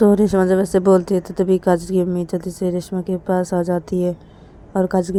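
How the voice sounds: The reading voice heard here is a natural one.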